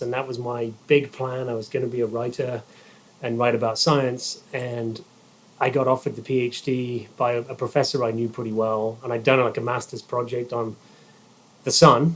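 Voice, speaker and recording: At a moderate pace, a man talks in a monotone, flat intonation. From England, rural Herefordshire. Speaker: golf engineering executive. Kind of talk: podcast interview.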